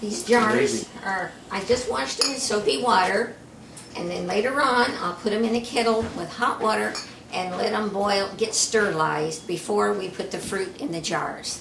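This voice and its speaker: Her pitch varies in an ordinary way. The woman is heard over noticeable background noise. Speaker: farmer's daughter and local historian. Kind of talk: casual cooking demonstration.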